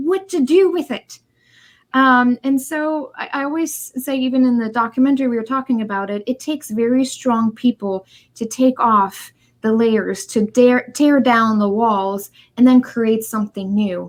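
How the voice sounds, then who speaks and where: The speaker has a German accent and keeps a moderate pace. Pitch variation is ordinary. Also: woman, high pitch for a woman. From East Germany. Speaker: author and speaker on human connection. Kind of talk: interview.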